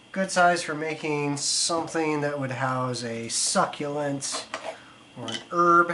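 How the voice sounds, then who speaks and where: This man talks very slowly while background noise and room echo are both clearly heard. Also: fairly high pitch for a man, ordinary pitch variation. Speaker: pottery instructor. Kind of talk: tutorial.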